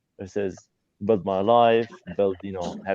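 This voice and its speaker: With an Arabic accent, a man talks at a moderate pace in a fairly low, monotone, flat voice. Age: 20s. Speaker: student. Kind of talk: live video call interview. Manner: halting.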